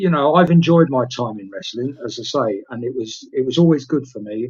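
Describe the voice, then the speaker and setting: A man with an English accent speaks at a moderate pace and medium pitch, sounding somewhat breathy. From England. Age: 60s. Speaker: retired pro wrestler. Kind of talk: interview. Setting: live stream. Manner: hesitant with filler words.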